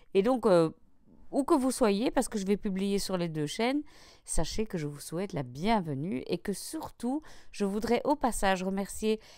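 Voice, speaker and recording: In a Belgian accent, a woman speaks at a fairly slow pace with lively intonation. The recording is very clean with a silent background. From Belgium. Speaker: craft YouTuber. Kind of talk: tutorial. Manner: casual, with hesitations.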